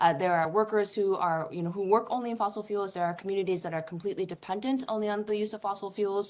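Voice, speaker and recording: A woman speaks very fast at a medium pitch. The background is quiet. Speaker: academic panelist on climate policy. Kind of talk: conference presentation.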